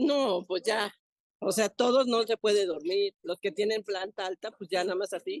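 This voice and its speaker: Recorded dry and close with no echo, a woman talks fairly slowly at a medium pitch with ordinary pitch variation. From Mexico, Chalco (State of Mexico). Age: 50s. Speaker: flood-affected resident. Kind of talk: on-site news interview.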